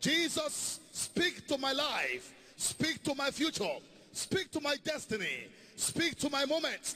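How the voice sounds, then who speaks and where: A man speaks in an extremely high pitch with an animated tone. His voice is raised and projected, and his pace is fairly slow. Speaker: preacher. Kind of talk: sermon with congregational prayer and call-and-response. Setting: church with live congregation. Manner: animated, exhortative, rallying the congregation with shouts of praise; fervent, commanding, declaring prayers and blessings over listeners.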